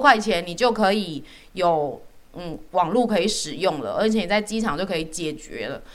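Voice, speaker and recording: A woman with a medium-pitched voice speaks at a moderate pace, her intonation lively. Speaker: dietitian podcast host. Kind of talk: casual chat. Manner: animated.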